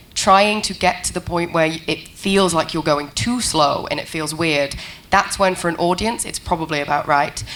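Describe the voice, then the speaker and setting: A woman talks at a moderate speed in a room with audible echo, with noticeable background noise present. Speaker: panel moderator. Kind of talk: panel discussion. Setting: conference stage with audience.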